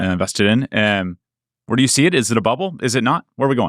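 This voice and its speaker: The recording is very clean with a silent background and a dry, close sound with no echo, carrying speech at a very fast pace and very even loudness. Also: man, medium pitch for a man. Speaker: interviewer. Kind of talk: business news interview.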